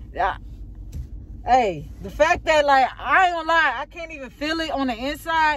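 Shaky and high, a woman's voice moves at a moderate pace with ordinary pitch variation, the sound dry with no echo. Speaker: vlogger. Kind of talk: angry rant. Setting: in a car, recording on the road. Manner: shaky, outraged, repeating herself. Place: car. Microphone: phone near.

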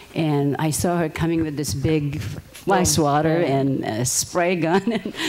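A woman with a very deep, low pitch speaks at a fairly slow pace with ordinary pitch variation against noticeable background noise. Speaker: audience member. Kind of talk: testimony. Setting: stage with audience.

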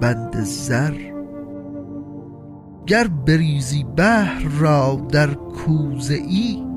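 Music plays behind a man who speaks very slowly at a fairly high pitch, swinging very widely in pitch and leaving long, frequent pauses. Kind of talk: poetry reading.

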